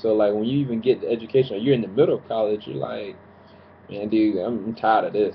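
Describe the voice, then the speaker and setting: A man's medium-pitched voice at a very fast pace, with ordinary pitch variation and big swings in loudness. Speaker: preacher / sermon commentator on YouTube. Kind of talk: sermon-style commentary to camera.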